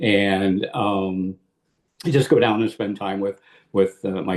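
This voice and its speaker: A man with a Midwestern American accent talks in a fairly low pitch with ordinary pitch variation. The background is quiet. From US Midwest, Illinois. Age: 70s. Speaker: war veteran. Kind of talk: interview. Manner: halting, many repeated words.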